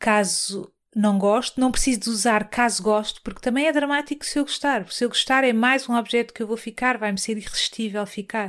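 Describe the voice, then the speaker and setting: Recorded very cleanly against a silent background, a woman speaks at a fairly high pitch with a European Portuguese accent. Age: 40s. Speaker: podcast host. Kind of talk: personal monologue. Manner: halting, many fillers and repetitions.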